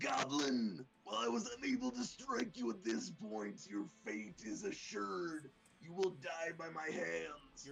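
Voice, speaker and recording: This is a put-on character voice with very wide pitch swings. The pace is fairly slow. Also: man, fairly high pitch for a man. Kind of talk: formal, theatrical. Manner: menacing, dramatic.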